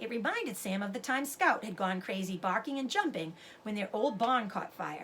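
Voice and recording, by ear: A natural voice reading aloud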